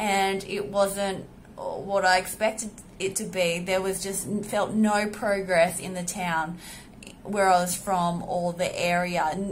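A woman with an Australian accent speaks very slowly in a flat, monotone way over light background noise. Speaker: women's health entrepreneur. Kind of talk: personal vlog monologue. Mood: reflective, grateful. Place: home room. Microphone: phone near.

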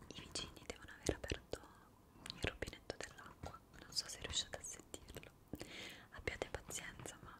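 A woman is whispering at a fairly quick pace. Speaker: ASMR creator. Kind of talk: soft-spoken casual chat. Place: home room.

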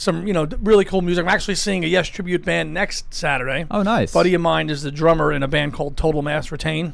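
With hardly any pauses, a man talks at a very fast pace using ordinary pitch variation. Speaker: radio guest. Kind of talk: casual radio conversation. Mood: upbeat, friendly. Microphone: studio mic.

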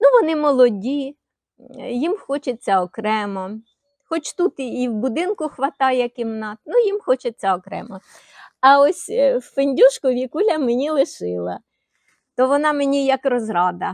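A woman with a high pitch speaks at a fairly slow pace, her very wide pitch swings broken by long, frequent pauses in a dry, close sound with no echo. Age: 70s. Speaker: retired video blogger. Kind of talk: casual monologue to camera. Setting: outdoors in the yard.

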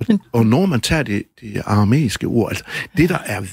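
In a dry, close sound with no echo, a man speaks at a fairly slow pace with a fairly low pitch and vocal fry. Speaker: author and musician. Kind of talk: radio interview answer.

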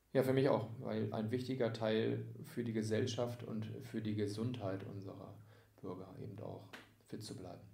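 A man's fairly low, dark, mellow voice with vocal fry, fairly even intonation and big swings in loudness, at a moderate pace, with audible room echo. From near Hamburg, Lower Saxony, Germany. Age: 30s. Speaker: sports club volunteer service manager. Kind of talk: casual interview.

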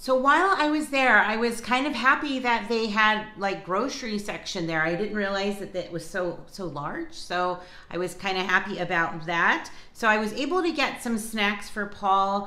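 With audible room echo, a woman speaks at a moderate pace. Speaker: lifestyle vlogger. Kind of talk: casual vlog chat. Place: kitchen. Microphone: phone near.

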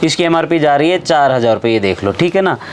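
The speech comes at a fast pace with lively intonation. Background noise is clear. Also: man, fairly high pitch for a man.

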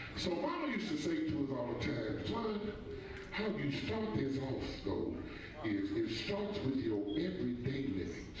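Strong room echo and light background noise surround this recording. A man speaks in it at a moderate pace. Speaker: speaker. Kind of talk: sermon. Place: church.

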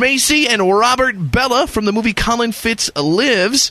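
A man's raised, projected voice, high in pitch and bright and sharp in tone. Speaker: radio morning show host. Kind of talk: radio interview. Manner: chipper.

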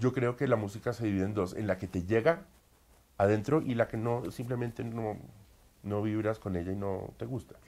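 A man speaks at a moderate pace with a fairly low pitch and a dark, mellow tone. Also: ordinary pitch variation. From Colombia. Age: 30s. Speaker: opera singer. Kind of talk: interview. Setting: at home. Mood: calm, reflective. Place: home room. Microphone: lapel.

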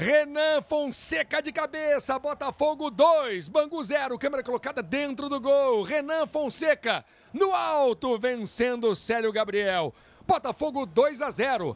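Speaking at a very slow pace, a man with an extremely high pitch and ordinary pitch variation is heard in a dry, close recording with no echo. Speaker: football commentator. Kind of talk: live sports commentary.

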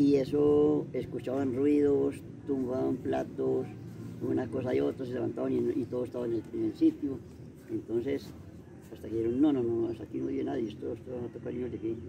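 Noticeable background noise is present. Over it, a man talks fairly quickly. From rural Caldas, Colombia. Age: 80s. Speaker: elderly local storyteller. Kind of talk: oral storytelling of local legends. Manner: halting, with many repetitions. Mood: relaxed, amused storytelling. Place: garden. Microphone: camera far.

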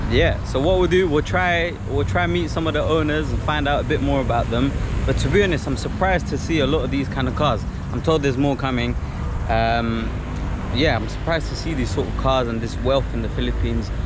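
Noticeable background noise surrounds a man talking at a fairly quick pace in a dry sound with no echo. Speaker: travel vlogger. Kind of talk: casual vlog chat. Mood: impressed and upbeat. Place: street. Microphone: phone near.

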